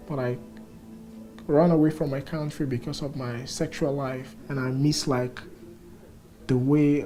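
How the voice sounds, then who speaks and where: The voice moves at a moderate pace. Audible room echo surrounds it. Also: man. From Sierra Leone. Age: 20s. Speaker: refugee. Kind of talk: testimony.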